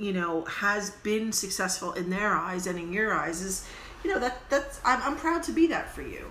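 Moderate-speed speech swinging very widely in pitch, audible room echo, noticeable background noise. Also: woman. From US. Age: 40s. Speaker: podcast co-host. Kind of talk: casual chat.

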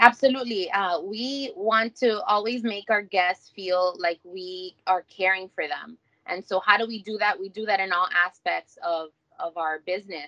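Recorded dry and close with no echo, a woman speaks at medium pitch and a moderate pace in a bright, sharp tone, with ordinary pitch variation and big swings in loudness. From Miami, Florida (Hialeah). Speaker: restaurant franchise owner. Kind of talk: interview.

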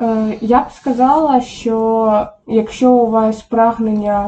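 A somewhat breathy woman speaks at a medium pitch with ordinary pitch variation. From Ukraine, Poltava region. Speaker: online psychologist. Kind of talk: casual chat. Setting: home kitchen.

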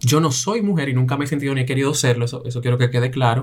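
Somewhat breathy, a man rushes at a very fast pace, with medium pitch and ordinary pitch variation. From Belgium, raised in Latin immigrant family. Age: 20s. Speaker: image consultant and fashion stylist. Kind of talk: interview, personal testimony.

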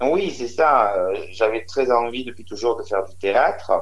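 A man talks at a fairly slow pace in a room with audible echo. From Marseille, southern France. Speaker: comedian, drag cabaret artist. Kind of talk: phone interview.

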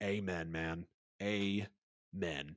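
An animated man with an American accent talks on a very clean recording with a silent background. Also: dry, close sound with no echo. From US South, Metro Atlanta, Georgia. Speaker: NFL podcast host. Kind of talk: casual solo sports podcast, livestreamed.

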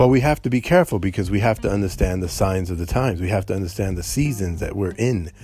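A man talks at a very fast pace with hardly any pauses. His fairly low voice has a dark, mellow, somewhat breathy tone and ordinary pitch variation. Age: old. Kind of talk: solo commentary. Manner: halting.

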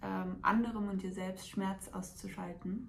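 A somewhat breathy woman at a fairly slow pace, with audible room echo. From Hesse, near Frankfurt. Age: 20s. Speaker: coaching client and student. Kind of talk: testimony.

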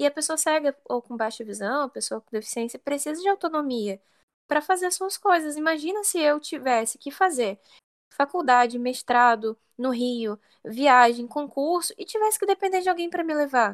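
A high-pitched woman speaks at a moderate pace with lively intonation and big swings in loudness, in a dry, close sound with no echo. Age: 20s. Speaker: IT analyst and blind accessibility advocate. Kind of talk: casual interview.

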